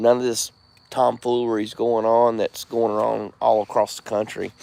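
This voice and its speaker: A man with a Southern US accent at a medium pitch, monotone and flat in intonation, at a moderate pace, with noticeable background noise. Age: 40s. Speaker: live streamer. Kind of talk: casual chat.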